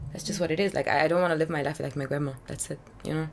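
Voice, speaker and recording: A woman speaks with a very deep, low pitch. Vocal fry runs through her voice. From Hungary. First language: Hungarian. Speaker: singer-songwriter. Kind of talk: casual interview chat. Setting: drinking rum during chat. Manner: hesitant, many fillers.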